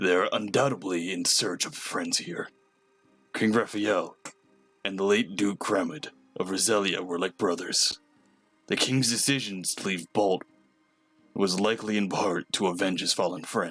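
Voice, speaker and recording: A man puts on a character voice at a fairly low pitch, with long, frequent pauses. Faint music plays in the background. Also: moderate pace. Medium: game stream. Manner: measured, authoritative.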